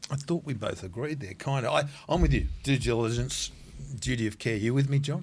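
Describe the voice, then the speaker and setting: Speaking at a fairly quick pace with an Australian accent, a man shows vocal fry and ordinary pitch variation. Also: medium pitch for a man. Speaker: podcast co-host. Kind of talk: casual interview chat. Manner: animated.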